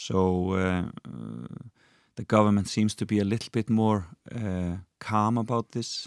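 On a very clean recording with a silent background and a dry, close sound with no echo, a man with an Icelandic accent speaks at a fairly slow pace in a fairly low, monotone voice, with long, frequent pauses. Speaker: TV presenter and entertainer. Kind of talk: casual chat. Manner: halting.

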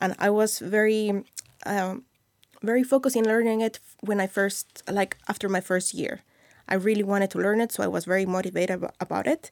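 A woman with a Mexican accent talks at a fairly quick pace at medium pitch. Her intonation is fairly even, and the sound is dry and close with no echo. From Mexico City. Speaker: YouTube creator and new Icelander. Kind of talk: casual interview chat.

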